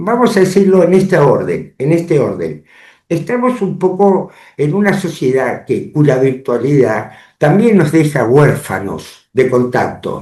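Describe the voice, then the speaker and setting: A man's dark, mellow voice, fairly high in pitch, with vocal fry, very wide pitch swings, very even loudness and a fairly slow pace. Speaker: lawyer and public affairs commentator. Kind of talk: interview. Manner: formal.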